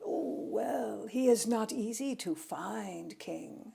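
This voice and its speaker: A put-on character voice that sounds female growls and hisses at a very slow pace. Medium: read story. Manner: snarling, hissing.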